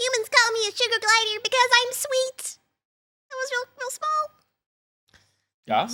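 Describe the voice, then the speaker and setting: A put-on character voice at an extremely high pitch, broken by long, frequent pauses. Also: moderate pace. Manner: cute, sweet.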